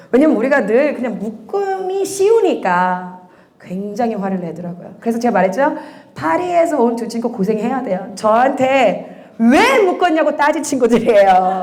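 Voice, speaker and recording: An animated woman's voice, fairly high in pitch with very wide pitch swings, at a moderate pace amid audible room echo. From USA. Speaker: church education minister. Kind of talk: parent information session.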